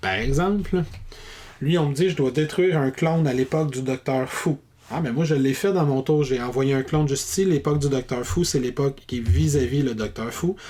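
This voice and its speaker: In a Quebec accent, a man speaks with a fairly high voice and ordinary pitch variation. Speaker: board game reviewer. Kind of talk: rules tutorial. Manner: fast.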